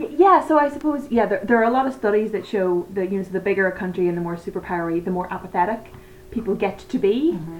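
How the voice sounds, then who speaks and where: Over noticeable background noise, a woman with a Northern Irish accent talks at a very fast pace. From Northern Ireland. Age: 30s. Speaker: election enthusiast. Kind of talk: casual chat.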